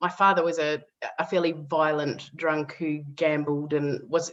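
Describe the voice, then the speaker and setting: This woman's voice is very deep and low, with an Australian accent, a fairly slow pace, and fairly even intonation. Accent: Australian, retained. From Western Australia (Perth). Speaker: author and former political adviser. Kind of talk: podcast interview, personal story. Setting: podcast recording.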